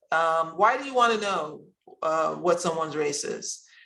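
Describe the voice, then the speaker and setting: Her tone is bright and sharp. The woman's voice carries audible room echo. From Pennsylvania. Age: 60s. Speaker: presenter. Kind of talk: recorded presentation. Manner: halting, many fillers.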